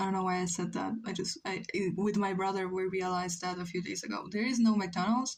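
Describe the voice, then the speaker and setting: A somewhat breathy woman's voice at a medium pitch. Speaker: streamer drawing live. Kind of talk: casual chat. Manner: slow; halting.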